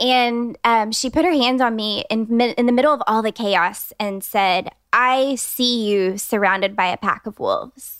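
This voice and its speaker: Here is a woman with an American accent and an unremarkable speaking voice. She speaks at a fairly slow pace, her fairly high pitch showing ordinary variation. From Texas (Austin). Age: 30s. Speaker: interior designer. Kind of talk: casual interview chat.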